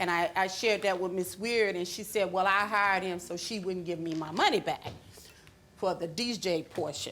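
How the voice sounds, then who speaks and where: A woman keeps her intonation fairly even, her voice carrying audible room echo. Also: medium pitch for a woman, moderate pace. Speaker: plaintiff in a TV court show. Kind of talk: courtroom testimony.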